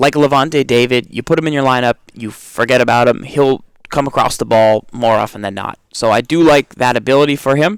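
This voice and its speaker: An unremarkable speaking voice: a man with an American accent, medium pitch and fairly even intonation. The sound is dry and close, with no echo. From Massachusetts. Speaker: video game podcast co-host. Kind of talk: casual gaming discussion.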